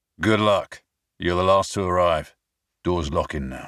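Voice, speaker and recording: In a put-on character voice, a man speaks with a raspy, very deep, low pitch at a moderate pace. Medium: read story. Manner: terse, gruff.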